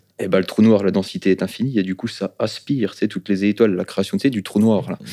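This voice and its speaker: Very fast and fairly low in pitch, a man with a slight eastern French accent speaks in a dark, mellow tone. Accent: slight non-Parisian, eastern French. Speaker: rapper. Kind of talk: podcast interview. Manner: animated, hesitant fillers.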